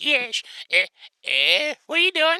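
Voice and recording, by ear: A female-sounding voice does a put-on character voice. Its pitch is high.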